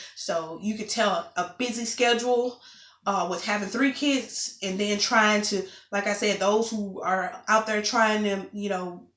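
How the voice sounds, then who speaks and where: Talking at a fairly slow pace, a woman with an unremarkable speaking voice holds a medium pitch and fairly even intonation. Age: 20s. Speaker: vlogger. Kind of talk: casual vlog update.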